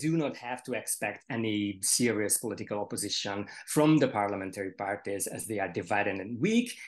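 At a moderate pace, a man speaks with a Hungarian accent. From Hungary. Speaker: panelist, art critic; panelist. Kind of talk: panel discussion. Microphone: video call.

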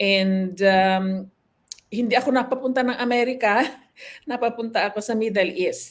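Using an unremarkable speaking voice, a woman talks at a moderate pace with fairly even intonation and a fairly high pitch. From Philippines, Ilocos Norte. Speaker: nurse. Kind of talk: interview, life story.

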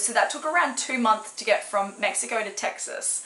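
A woman with an Australian accent, fairly high in pitch, at a moderate pace over noticeable background noise. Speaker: crafts and snail mail vlogger. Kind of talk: casual vlog unboxing. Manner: animated, excitable.

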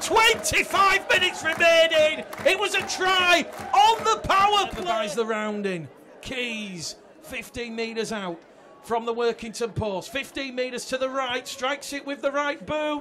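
Against noticeable background noise, a man speaks in a raised, projected voice at an extremely high pitch and a fairly slow pace, his pitch swinging very widely. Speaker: sports commentator. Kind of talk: live rugby league match commentary. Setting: broadcast commentary on a match.

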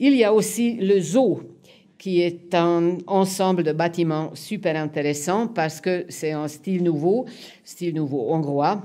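A woman's fairly low voice in a Hungarian accent, dark and mellow in tone, with ordinary pitch variation and a very slow pace. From Hungary (Budapest). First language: Hungarian (speaking French). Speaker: museum curator and literary historian; historian lecturer. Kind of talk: lecture. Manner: halting. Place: hall.

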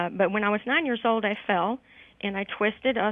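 Against a quiet background, a woman speaks very fast with fairly even intonation, and the sound is dry with no echo. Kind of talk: interview answer. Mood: friendly, grateful. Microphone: phone line.

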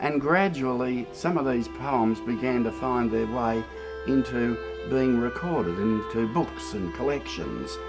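A man talks at a fairly slow pace while clear music sounds in the background. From Australia. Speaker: bush poetry reciter. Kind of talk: interview answer. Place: garden.

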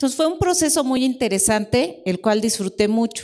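A woman's plain, everyday voice, fairly high in pitch and fairly slow, over a quiet background. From Mexico. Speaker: technology executive; panelist. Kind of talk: panel discussion at a conference. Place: hall.

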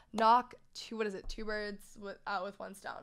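Against a quiet background, the speech moves at a moderate pace with fairly even intonation. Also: woman. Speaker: podcast host. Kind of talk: casual podcast chat. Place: studio. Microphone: studio mic.

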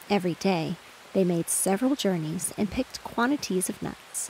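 A woman speaks with lively intonation at a medium pitch. Noticeable background noise is present. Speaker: audiobook narrator. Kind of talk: soothing bedtime storybook reading aloud over rain sounds. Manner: slow, hushed, gently lulling delivery; softly expressive, lightly voicing squirrel dialogue.

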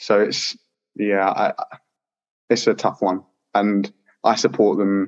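A man speaks in a London accent at a fairly slow pace, with long, frequent pauses. His loudness stays very even, and the sound is dry and close with no echo. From southeast London, England. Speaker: PhD student. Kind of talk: interview. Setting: video call.

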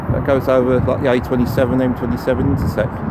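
The sound is dry, with no echo. Loud background noise is present. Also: man. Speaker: vlogger. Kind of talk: casual vlog chat. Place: waterside. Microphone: phone near.

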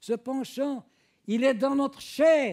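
A man with an extremely high pitch speaks at a very slow pace, using ordinary pitch variation. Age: old. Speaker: preacher. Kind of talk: sermon. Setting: church.

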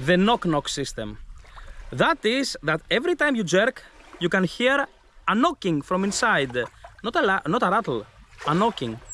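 A man's raised, projected voice, bright and sharp in tone, with very wide pitch swings, a moderate pace, long, frequent pauses and a dry sound with no echo. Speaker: presenter. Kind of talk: product demonstration talk. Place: open country. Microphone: phone near.

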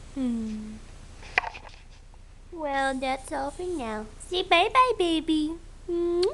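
Extremely high in pitch, a woman's voice makes very wide pitch swings. She goes at a very slow pace with long, frequent pauses, over noticeable background noise. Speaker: dog owner filming her pet. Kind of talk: casual talk to a pet behind the camera. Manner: baby voice, high-pitched. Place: home room. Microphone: phone near.

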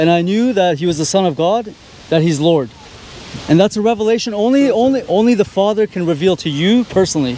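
With lively intonation and a high pitch, a man speaks at a very fast pace. The sound is dry with no echo, and there is light background noise. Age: 30s. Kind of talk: street debate. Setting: outdoors in public with a group. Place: street. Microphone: handheld.

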